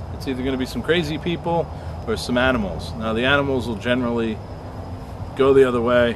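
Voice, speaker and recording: A man at a very fast pace, dry sound with no echo, noticeable background noise. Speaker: explorer vlogger. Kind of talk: casual vlog chat. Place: forest.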